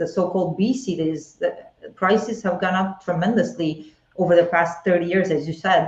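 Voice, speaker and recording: A woman speaks in an Eastern European accent, her medium pitch showing ordinary variation. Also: moderate pace. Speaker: real estate agent. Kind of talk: live webinar conversation.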